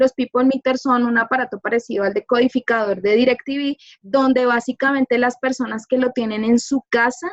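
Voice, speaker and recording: A woman with a high pitch talks at a moderate pace with hardly any pauses, fairly even intonation, very even loudness, and a dry, close sound with no echo. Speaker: media professional. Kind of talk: informal talk to a class. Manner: soft-spoken.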